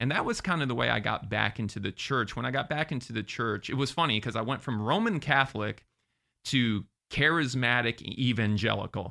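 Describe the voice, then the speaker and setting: A man with a plain, everyday voice speaks at a fairly quick pace, at a medium pitch with ordinary pitch variation. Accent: American. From Florida. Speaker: entertainer and podcaster. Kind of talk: interview.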